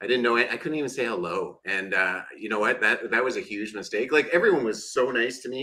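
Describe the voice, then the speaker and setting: Hardly pausing, a man with a Canadian accent talks at a fairly quick pace. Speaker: podcast co-host. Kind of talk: casual chat.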